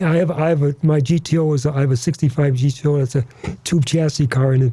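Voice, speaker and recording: A man speaks very fast in a fairly high, somewhat breathy voice with a dark, mellow tone. His intonation is fairly even and his loudness very even. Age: 80s+. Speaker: drag racer and event organizer. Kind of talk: casual chat.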